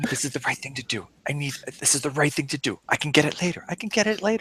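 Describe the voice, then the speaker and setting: A man does a put-on character voice, quiet and mumbling, at a fairly high pitch. He talks very fast with lively intonation. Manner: mumbling, low and self-reassuring.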